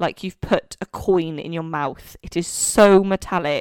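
Recorded dry and close with no echo, a woman speaks at a fairly low pitch with fairly even intonation. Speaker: podcast host. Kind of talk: casual chat.

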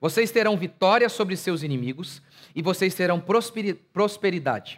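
A man speaks at a high pitch and a fairly slow pace. The recording is very clean with a silent background. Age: 30s. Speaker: pastor. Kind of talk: sermon.

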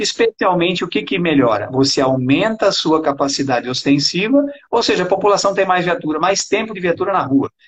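Intonation is lively in this fairly quick delivery. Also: man. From Brazil, São Paulo interior (Araraquara). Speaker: retired police colonel, political candidate. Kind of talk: interview.

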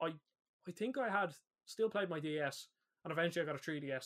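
A man with an Irish accent talks at a very fast pace. His pitch is high, with ordinary variation. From Ireland. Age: 20s. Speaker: podcast host. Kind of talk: casual chat.

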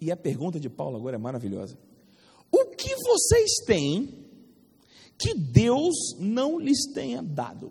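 A man at a very slow pace, with long, frequent pauses and big swings in loudness. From Rio de Janeiro, Brazil. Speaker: Bible school teacher. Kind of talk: lecture. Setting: classroom with students. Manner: animated, interactive with class.

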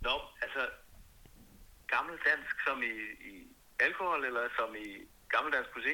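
A man talks at a fairly slow pace, leaving long, frequent pauses. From Denmark, Copenhagen. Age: 20s. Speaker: singer-songwriter. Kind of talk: interview.

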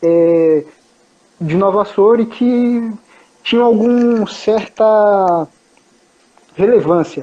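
A man speaks with ordinary pitch variation. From São Paulo, Brazil. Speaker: traveler sharing his journey. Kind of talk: casual interview.

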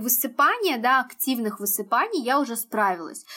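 Ordinary pitch variation in a bright, sharp tone. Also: woman. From Uzbekistan. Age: 20s. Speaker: skincare blogger. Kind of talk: casual chat.

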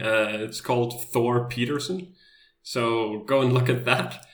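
At a fairly slow pace, a man with medium pitch talks with ordinary pitch variation amid audible room echo. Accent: Danish. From Denmark. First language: Danish. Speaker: world traveler. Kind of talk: interview.

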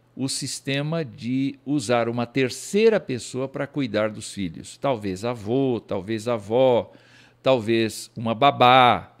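Speaking at a very slow pace, a man uses a medium pitch. The recording is very clean with a silent background. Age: old. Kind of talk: lecture. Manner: halting.

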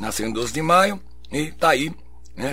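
A man at a fairly slow pace. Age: 60s. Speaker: radio host. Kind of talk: radio show presenting. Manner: halting.

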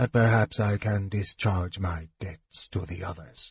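In a put-on character voice, a man speaks quietly at a fairly slow pace, his low pitch carrying a husky, rough edge and ordinary pitch variation.

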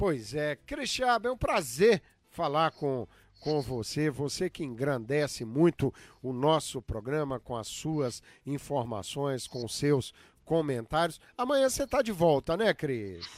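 In a very clean recording with a silent background and a dry, close sound with no echo, a man with a normal speaking voice talks fairly slowly at a fairly high pitch with lively intonation. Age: 60s. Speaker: radio host. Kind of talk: radio talk show.

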